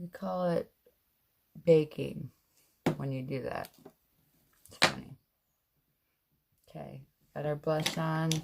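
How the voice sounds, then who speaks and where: A woman's very slow speech, broken by long, frequent pauses and big swings in loudness. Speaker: beauty vlogger. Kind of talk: makeup tutorial. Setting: laundry room at home. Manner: trying to speak loudly.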